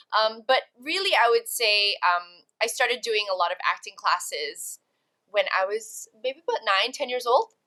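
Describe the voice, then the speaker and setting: Lively intonation carries a woman's fairly high-pitched voice, which has a bright, sharp tone. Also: moderate pace. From Malaysia and Canada. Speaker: actress and talent agency founder. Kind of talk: casual interview chat.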